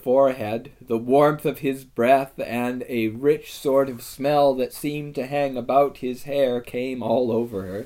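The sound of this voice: The voice reads aloud in an unforced way.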